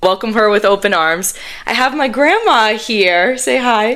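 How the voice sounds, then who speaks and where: A fairly high-pitched woman's voice with ordinary pitch variation, over noticeable background noise. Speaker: podcast host. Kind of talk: casual podcast conversation.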